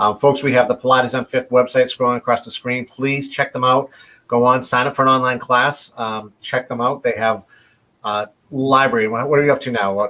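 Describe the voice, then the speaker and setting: With a Boston accent, a man talks fairly quickly in a monotone, flat intonation and a bright, sharp tone. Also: medium pitch for a man. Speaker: interview host. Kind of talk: live interview chat. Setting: live virtual broadcast.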